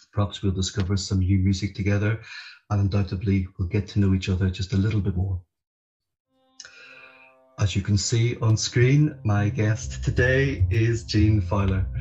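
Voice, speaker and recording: A man's fairly low voice at a moderate pace, with ordinary pitch variation, very even loudness, long and frequent pauses, and faint music in the background. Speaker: podcast host. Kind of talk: scripted introduction. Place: home room. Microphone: video call.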